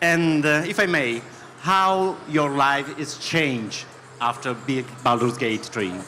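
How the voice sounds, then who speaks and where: Very slow speech with a bright, sharp tone, lively intonation and an Italian accent, over audible room echo. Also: man, fairly high pitch for a man. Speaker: interviewer. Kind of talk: panel interview on stage. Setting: stage with audience. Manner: halting.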